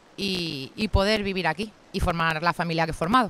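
Her medium-pitched voice, with ordinary pitch variation, carries this woman's speech at a moderate pace. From Madrid, Spain. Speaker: veterinarian and rural guesthouse owner. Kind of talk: interview. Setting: outdoors, sitting on a rock by a river. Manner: hesitant, many fillers.

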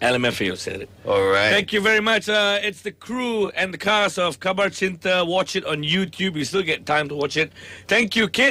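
A man's raised, projected voice, high in pitch and bright and sharp in tone, at a moderate pace with hardly any pauses and ordinary pitch variation. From Malaysia. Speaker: radio host. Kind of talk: radio interview. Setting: radio studio. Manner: animated. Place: studio.

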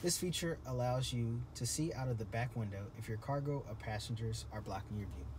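A man at a fairly quick pace amid noticeable background noise. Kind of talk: product walk-around presentation. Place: car. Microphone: phone near.

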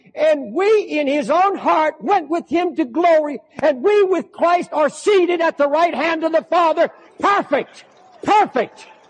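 Through noticeable background noise, a man speaks at a fairly slow pace in an extremely high pitch. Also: ordinary pitch variation. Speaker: preacher. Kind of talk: sermon preached to a congregation. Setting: large church auditorium with live congregation. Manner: fervent, emphatic, slow with repetition.

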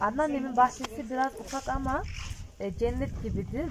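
The pace is moderate. Noticeable background noise runs beneath the speech. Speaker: vlogger showing grandmother's garden. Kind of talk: casual garden tour to camera. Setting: outdoors. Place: garden. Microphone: phone near.

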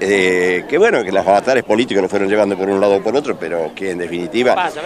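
Over noticeable background noise, a man speaks at a fairly low pitch in a dry sound with no echo. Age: 70s. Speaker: former mayor, local politician. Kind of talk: street interview. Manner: halting, repetitive. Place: street. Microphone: handheld.

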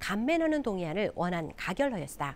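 A woman speaks with very wide pitch swings. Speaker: news anchor. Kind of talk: TV news read.

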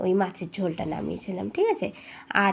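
A woman is talking. Her voice carries some breathiness. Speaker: home vlogger. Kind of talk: casual vlog narration. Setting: at home.

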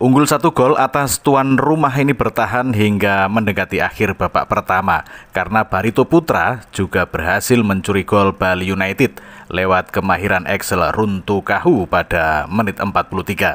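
Dry and close with no echo, an unremarkable speaking voice from a man comes at a fairly low pitch and moderate pace, with lively intonation, very even loudness and hardly any pauses. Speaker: radio announcer. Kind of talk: radio-style football match report, sports commentary. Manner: formal, polished broadcast tone.

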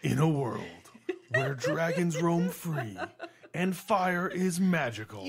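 A put-on character voice at a middle pitch, fairly slow, with long, frequent pauses. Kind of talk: announcer. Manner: dramatic and grand.

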